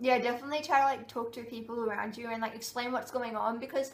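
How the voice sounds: There is audible room echo as a woman talks at a fast pace with a fairly high pitch and ordinary pitch variation.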